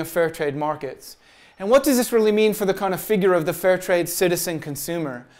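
A man's fairly quick delivery with lively intonation against a quiet background. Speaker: presenter. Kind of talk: lecture. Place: classroom.

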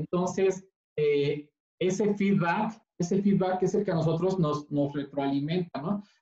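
The speech moves at a fairly slow pace. Audible room echo sits over a quiet background. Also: man. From Mexico. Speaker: vegan recipe youtuber. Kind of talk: casual chat. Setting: video call. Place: kitchen. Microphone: video call.

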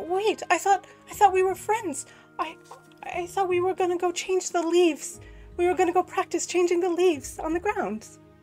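Over faint music in the background, a put-on character voice speaks at a moderate pace with an extremely high pitch. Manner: warm, confused, pleading.

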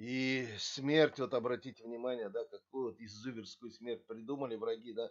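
A man speaks at a medium pitch and a moderate pace, with fairly even intonation, hardly any pauses and big swings in loudness. It is an unremarkable speaking voice against a quiet background. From Kazakhstan. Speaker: video blogger. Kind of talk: history talk to camera, partly read. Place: home room. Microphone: webcam.

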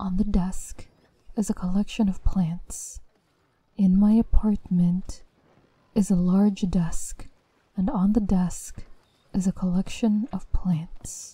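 At a very slow pace and with long, frequent pauses, a woman of medium pitch speaks in a dark, mellow, somewhat breathy voice with fairly even intonation. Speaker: voice actor narrator. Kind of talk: scripted horror story narration, creepypasta read aloud. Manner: hushed, slow, eerie, building suspense with deliberate pauses.

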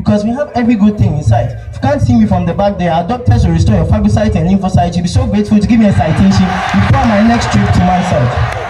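A man at a very fast pace with hardly any pauses and very wide pitch swings, over noticeable background noise. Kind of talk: spoken word poetry performance at a school speech day. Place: stage.

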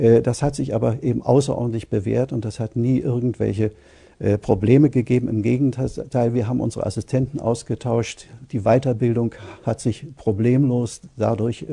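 The background is quiet. A man speaks in a dark, mellow, somewhat breathy voice. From Germany. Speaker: radiologist. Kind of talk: interview answer. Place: studio.

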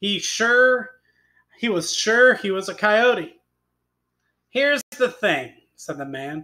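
A man speaks in a raised, projected voice at a high pitch, with very wide pitch swings. His pace is very slow, with long, frequent pauses. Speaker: teacher. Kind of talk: classroom read-aloud lesson.

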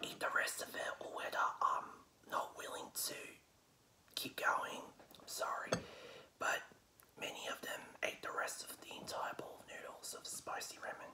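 A man whispers at a moderate pace, stopping for long, frequent pauses. His loudness swings widely. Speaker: vlogger. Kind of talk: casual vlog chat. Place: home room. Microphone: phone near.

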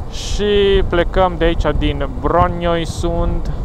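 A man speaks with a dry sound and no echo. Noticeable background noise runs underneath. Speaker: motorcycle rider vlogger. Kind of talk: casual vlog chat. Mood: cheerful. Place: motorbike. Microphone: helmet.

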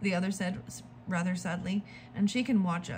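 Just plain reading aloud

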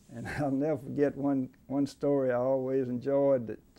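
In an Alabama accent, a man with a dark, mellow tone speaks in a monotone, flat way. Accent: Southern US (Alabama). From central Alabama, US South. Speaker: veteran trial lawyer; interviewee. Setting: law office. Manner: repeats words as he gathers thoughts, chuckles at old courtroom stories. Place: office.

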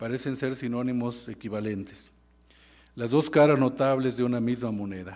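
Against a quiet background, a dark, mellow tone comes through at a moderate pace with ordinary pitch variation. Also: man. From Mexico. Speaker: university professor giving a laudatory speech. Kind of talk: formal ceremonial speech. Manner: formal. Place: hall. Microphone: podium.

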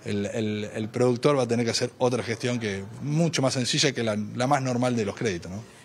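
A man speaking at a fairly quick pace with hardly any pauses and ordinary pitch variation, over light background noise. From Santa Fe province, Argentina (small town). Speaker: provincial dairy sector official. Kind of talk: field interview. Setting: on location at public event. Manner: halting, many fillers and repetitions. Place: hall. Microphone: handheld.

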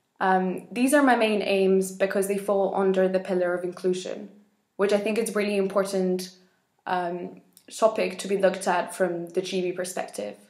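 In a flat monotone, a woman with a medium pitch speaks at a moderate pace, with audible room echo against a quiet background. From Spain, Madrid. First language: Spanish. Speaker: election candidate in a youth organisation; election candidate. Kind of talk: campaign video statement. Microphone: webcam.

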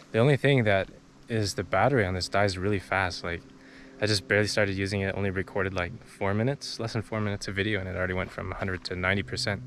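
Over light background noise, a man with a fairly low pitch and ordinary pitch variation talks at a very fast pace in a dry sound with no echo. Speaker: hiking vlogger. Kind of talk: casual vlog chat. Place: open country. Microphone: phone near.

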